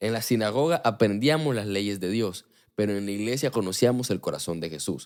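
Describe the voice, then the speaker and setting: A man with a fairly low voice talks at a fairly quick clip, his tone animated and his intonation lively. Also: very clean recording, silent background. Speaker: podcast host. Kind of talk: religious talk. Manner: fast.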